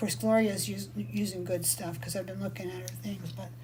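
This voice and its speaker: A woman talks at a moderate pace. Audible room echo and noticeable background noise come through. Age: 60s. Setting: live video session from her workshop. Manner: casual, chatty.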